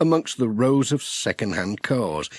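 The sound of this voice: A man speaks at medium pitch, at a fairly slow pace, with big pitch swings. The sound is dry and close, with no echo.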